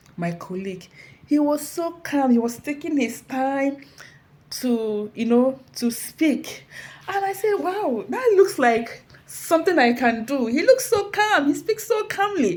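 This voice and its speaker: In an animated tone, a woman speaks at a fairly slow pace with a high pitch and very wide pitch swings. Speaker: motivational speaker. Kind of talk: inspirational talk.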